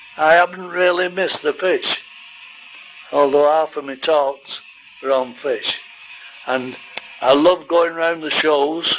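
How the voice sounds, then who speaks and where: At a very slow pace with long, frequent pauses, a man speaks in a fairly high voice with fairly even intonation over noticeable background noise. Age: 80s+. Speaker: retired goldfish breeder and show judge. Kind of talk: casual narration. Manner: halting.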